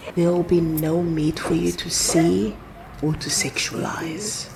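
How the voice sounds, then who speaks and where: Noticeable noise in the background behind a soft-spoken voice. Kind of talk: spoken-word reflective narration.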